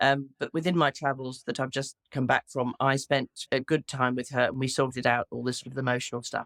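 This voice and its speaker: A woman with an English accent, very deep and low in pitch, at a fairly quick pace with monotone, flat intonation. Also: dry, close sound with no echo. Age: 60s. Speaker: widow. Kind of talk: interview. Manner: halting.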